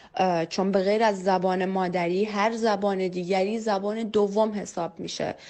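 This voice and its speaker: This woman speaks in a Kurdish accent, at a medium pitch and a moderate pace. Her intonation is monotone and flat, with hardly any pauses. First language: Kurdish (speaking Persian). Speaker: interviewee on mother tongue. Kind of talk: testimony. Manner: hesitant, many filler sounds.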